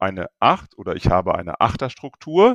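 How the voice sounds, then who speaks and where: A man talks at a fairly slow pace in a dry, close sound with no echo. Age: 50s. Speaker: public sector department head. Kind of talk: casual interview. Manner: hesitant, many fillers.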